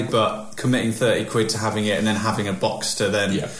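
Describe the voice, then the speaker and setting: Noticeable background noise runs under this recording. A man with a British accent talks at a fairly quick pace and a fairly low pitch. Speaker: podcast host. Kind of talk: casual chat. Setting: in-person table recording at home.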